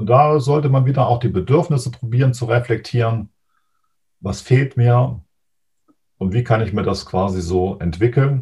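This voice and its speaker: A man with a dark, mellow tone talks at a moderate pace, somewhat breathy, with ordinary pitch variation. Long pauses come often. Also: medium pitch for a man. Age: 50s. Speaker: mental coach. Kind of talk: interview.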